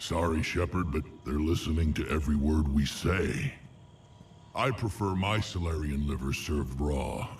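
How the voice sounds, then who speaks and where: Using a put-on character voice, a man speaks very deep and low at a moderate pace, with ordinary pitch variation, very even loudness, and clear background noise. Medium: video game. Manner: gruff, dry humor.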